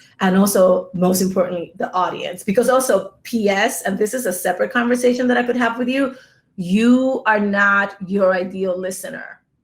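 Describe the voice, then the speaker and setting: Somewhat breathy, a woman speaks in an American accent with ordinary pitch variation. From New York City, the Bronx, Dominican roots. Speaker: podcast producer and conference speaker. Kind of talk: conference talk. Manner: animated.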